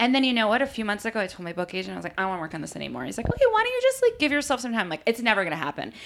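Talking at a very fast pace with hardly any pauses, a woman is heard over noticeable background noise. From US East Coast. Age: 40s. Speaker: podcast host. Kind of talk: casual chat.

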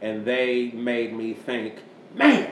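Through noticeable background noise, a man speaks at medium pitch. His intonation is monotone and flat. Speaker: podcast host and panel moderator. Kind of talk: casual panel chat podcast.

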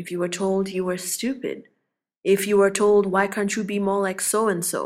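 This woman has a plain, everyday voice at a medium pitch, captured in a very clean recording with a silent background. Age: 30s. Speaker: coach. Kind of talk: motivational talk. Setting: podcast.

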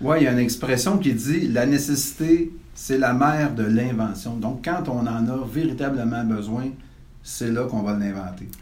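A man speaks at a medium pitch with ordinary pitch variation. Noticeable background noise and audible room echo are present. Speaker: real estate consultant and podcast host. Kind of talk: interview.

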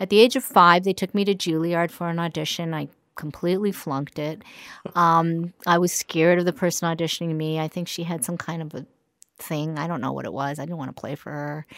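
In a very clean recording with a silent background, a woman with an American accent uses a normal speaking voice, fairly low in pitch, at a fairly quick pace with big swings in loudness. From New York. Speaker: concert pianist and music teacher. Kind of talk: interview conversation. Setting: music school studio.

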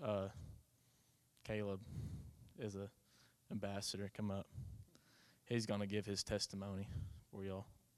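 Fairly quick, monotone, flat delivery from a man with an Oklahoma accent and a fairly low pitch. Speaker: college baseball player. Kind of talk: testimony. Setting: church.

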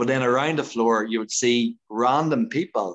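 A man with an Irish accent, medium pitch and a moderate pace. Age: 30s. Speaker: dancer and dance teacher. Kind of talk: casual interview chat. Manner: animated.

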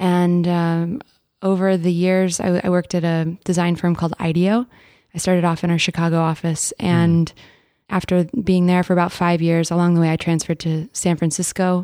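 A woman's fairly low voice, dark and mellow, at very even loudness and a moderate pace, flat and monotone, on a very clean recording with a silent background. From Texas. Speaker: painter and designer. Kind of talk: interview conversation.

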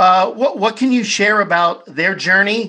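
The voice is raised and projected, with a bright, sharp tone and ordinary pitch variation. It moves at a moderate pace against a quiet background. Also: man. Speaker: podcast host. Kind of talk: interview.

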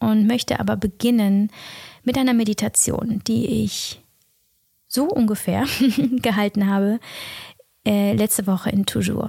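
A woman's calm, soothing tone in a dry, close sound with no echo. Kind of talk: guided meditation. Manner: slow, soft-spoken, calm and soothing with long pauses; gentle, warm, intimate, addressing listener directly as du.

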